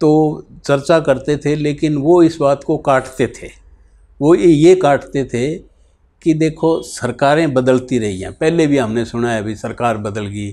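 Speaking at a fairly slow pace, a man with a dark, mellow tone shows ordinary pitch variation and big swings in loudness. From Bahawalnagar region, Punjab, Pakistan; raised in Haryana; Punjab, Pakistan. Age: 70s. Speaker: retired politician, partition survivor. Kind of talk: oral history interview. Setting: in person in Sirsa. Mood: earnest, reflective storytelling. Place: home room. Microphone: lapel.

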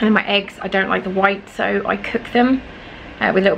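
Light background noise sits behind the speaker. A woman talks at a very fast pace. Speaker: food vlogger. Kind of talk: casual vlog chat. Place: kitchen. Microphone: phone near.

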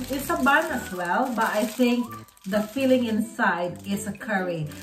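A woman talks fairly slowly while noticeable noise sits in the background. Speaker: vlogger. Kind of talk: casual vlog chat. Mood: happy, enthusiastic. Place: home room. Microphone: phone near.

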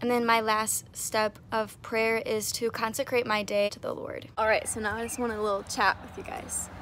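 A woman speaks at a fairly slow pace, the sound dry with no echo and light background noise behind her. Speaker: faith vlogger. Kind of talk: casual vlog chat. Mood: earnest, encouraging. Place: garden. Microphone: phone near.

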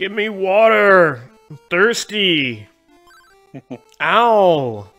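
A man's put-on character voice, high in pitch and very slow, with faint music in the background. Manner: pained, pleading, thirsty.

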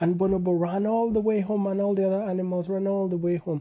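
A man talks fast in a high pitch with little pitch movement.

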